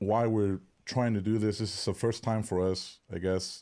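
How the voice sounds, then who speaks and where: The recording is very clean, with a silent background. A man with a fairly low pitch and a dark, mellow tone speaks at a moderate pace. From Canada. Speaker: touring musician and live stream host. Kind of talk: casual chat. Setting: home live stream.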